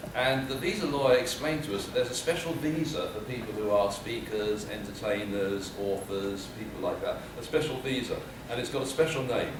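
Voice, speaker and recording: A man with a British accent and lively intonation at a fairly quick pace, with audible room echo and noticeable background noise. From United Kingdom. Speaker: public speaker. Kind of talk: humorous keynote speech. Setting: stage with audience.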